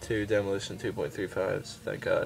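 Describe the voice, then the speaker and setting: Someone speaks at a moderate pace over music in the background. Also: man. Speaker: BMX rider. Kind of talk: casual talk to camera.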